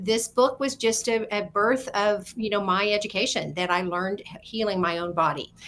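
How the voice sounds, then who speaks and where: At a moderate pace and with hardly any pauses, a woman speaks in a plain, everyday voice of medium pitch, with ordinary pitch variation. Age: 60s. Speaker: wellness author. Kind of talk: radio interview. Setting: internet radio show.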